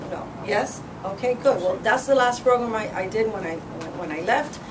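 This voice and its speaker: A woman speaks fairly quickly at a fairly high pitch. There is audible room echo and noticeable background noise. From Cuba. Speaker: political candidate. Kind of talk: campaign speech. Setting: meeting room with audience. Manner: fast; animated.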